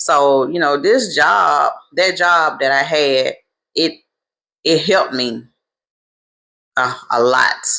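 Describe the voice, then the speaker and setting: A woman with an American accent speaks at a very deep, low pitch. Her tone is bright, sharp and animated. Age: 40s. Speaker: travel business owner. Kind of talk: casual storytelling vlog.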